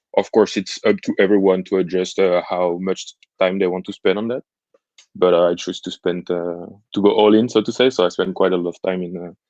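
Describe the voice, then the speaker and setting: A man speaks with a French accent in a very deep, low voice, his intonation flat and monotone. His pace is fairly quick, and the sound is dry and close with no echo. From France. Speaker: entrepreneurship student. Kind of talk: interview. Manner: hesitant, many fillers.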